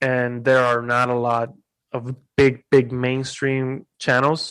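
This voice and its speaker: Against a quiet background, a man speaks at a very slow pace with a medium pitch and monotone, flat intonation. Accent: Spanish. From Puerto Rico. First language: Spanish. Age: 20s. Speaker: YouTuber and content creator. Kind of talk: casual interview.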